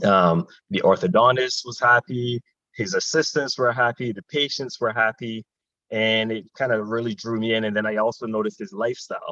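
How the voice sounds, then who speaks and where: In a Barbadian accent, a man talks at a moderate pace with a medium pitch and a bright, sharp tone, the sound dry and close with no echo. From Barbados. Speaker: dentist and army officer. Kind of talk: panel discussion.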